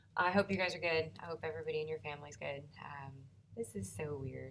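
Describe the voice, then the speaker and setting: Her voice is very deep and low in pitch. The woman's speech carries vocal fry. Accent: American. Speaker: high school math teacher. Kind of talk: recorded video lesson. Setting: empty classroom. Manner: uneven volume; casual, chatty.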